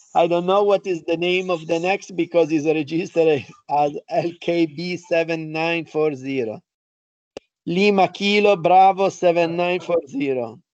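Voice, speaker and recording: The speaker goes at a fairly slow pace with an Italian accent. Pitch variation is ordinary. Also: man, high pitch for a man. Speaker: university professor. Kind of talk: online lecture, student introductions.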